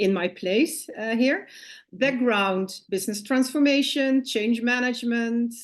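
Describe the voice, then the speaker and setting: A woman speaks in a Dutch accent at a fairly slow pace. Her pitch varies in an ordinary way. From Netherlands. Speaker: business consultant. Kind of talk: interview.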